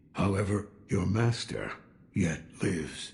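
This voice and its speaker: Putting on a raspy character voice, a man speaks at a fairly slow pace with a fairly low pitch and fairly even intonation. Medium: video game. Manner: dry, laconic.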